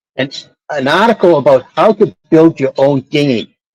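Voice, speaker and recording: A man speaks in a Boston accent. The sound is dry and close, with no echo. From Boston, Massachusetts. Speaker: sailor. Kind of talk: casual chat.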